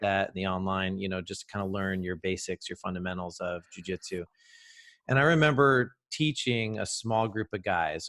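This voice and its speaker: At a moderate pace, a man with a fairly low pitch and an ordinary speaking voice talks in a dry, close sound with no echo on a very clean recording with a silent background. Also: ordinary pitch variation. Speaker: jiu-jitsu gym owner and podcast host. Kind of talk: casual interview conversation.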